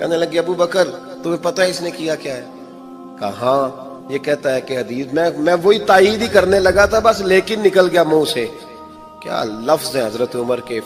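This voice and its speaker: With music in the background, a high-pitched man talks using lively intonation. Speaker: Islamic preacher. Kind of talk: religious sermon, emotional storytelling. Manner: emotional, passionate, sermonizing.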